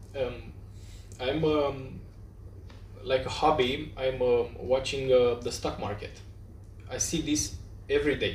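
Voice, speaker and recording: A man at a fairly slow pace, long, frequent pauses and audible room echo. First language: Romanian. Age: young. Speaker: podcast host. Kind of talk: interview. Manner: halting.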